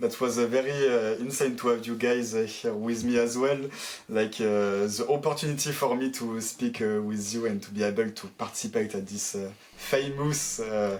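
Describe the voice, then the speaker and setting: At a moderate pace, a man with a French accent speaks at medium pitch with fairly even intonation. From France. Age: 20s. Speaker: pro esports player. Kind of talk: interview. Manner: halting, many fillers.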